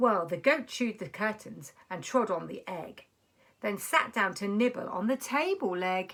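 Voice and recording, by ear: Speaking at a fairly slow pace, a woman uses lively intonation in a fairly bright tone. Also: medium pitch for a woman.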